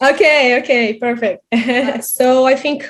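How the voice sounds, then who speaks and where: Speaking very slowly, a woman with a Brazilian Portuguese accent uses a high voice with ordinary pitch variation. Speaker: interviewer, psychology teacher. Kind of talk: interview. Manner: halting.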